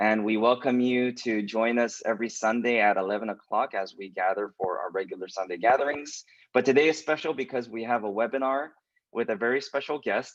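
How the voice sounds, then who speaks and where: Speaking fairly quickly with a West Coast US accent, a man keeps a medium pitch with ordinary pitch variation. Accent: General American, West Coast. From Southern California (Los Angeles). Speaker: pastor. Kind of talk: webinar interview hosting. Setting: video call webinar.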